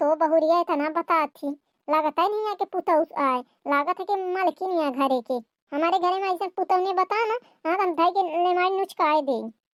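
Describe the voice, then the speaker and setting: The voice is a squeaky, cartoonish character voice. It moves at a fairly quick pace. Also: woman, extremely high pitch for a woman. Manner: quick to take offence, gossipy.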